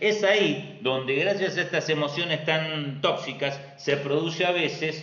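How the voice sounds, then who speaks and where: At a fairly slow pace with hardly any pauses, the voice keeps very even loudness and ordinary pitch variation, with audible room echo and noticeable background noise. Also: man. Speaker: astrologer. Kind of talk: live stream talk.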